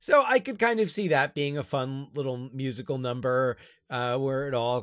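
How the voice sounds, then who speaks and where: The speaker has an ordinary speaking voice, moving at a moderate pace. Pitch varies in an ordinary way, and the recording is very clean over a silent background. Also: man. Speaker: podcast host and high school teacher. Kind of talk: casual comedic chat.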